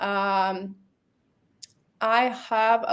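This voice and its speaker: A woman with a Latvian accent, fairly high pitch and ordinary pitch variation, in a very clean recording with a silent background. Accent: Russian-speaking Latvian accent in English. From Latvia (Riga). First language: Russian. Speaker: marketing professional, company founder. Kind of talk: interview. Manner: halting, non-fluent English with many fillers.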